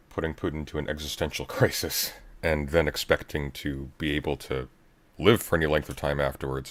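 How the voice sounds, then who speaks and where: A man with a very deep, low pitch talks in fairly even intonation, his voice showing vocal fry. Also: fairly quick pace. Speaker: livestreamer. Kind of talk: casual chat.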